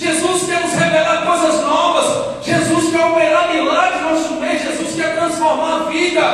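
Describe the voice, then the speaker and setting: A man's extremely high, animated voice at a moderate pace with hardly any pauses, in strong room echo over light background noise. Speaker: preacher. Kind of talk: sermon to a live congregation, fervent preaching with calls for response. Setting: church with congregation. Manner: animated, exhorting and emphatic; repetitive, rhythmic, with frequent 'aleluia' exclamations. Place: stage.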